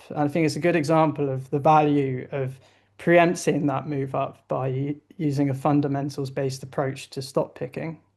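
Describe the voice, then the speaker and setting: A man with a British accent and a fairly high pitch, against a quiet background. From southern England. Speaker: investment analyst. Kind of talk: interview. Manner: hesitant, with fillers.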